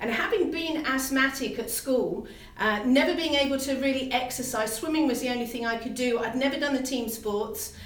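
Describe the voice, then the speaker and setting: Amid noticeable background noise and audible room echo, a woman with a British accent speaks in a high voice with fairly even intonation. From UK. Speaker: fitness trainer. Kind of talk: live stream talk.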